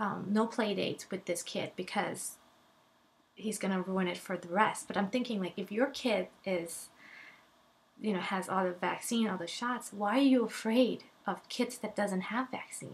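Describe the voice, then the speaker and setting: A woman's somewhat breathy, medium-pitched voice with a non-native accent, ordinary pitch variation and a moderate pace. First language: not English. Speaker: vlogger, mother. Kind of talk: personal testimony vlog. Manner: animated; halting.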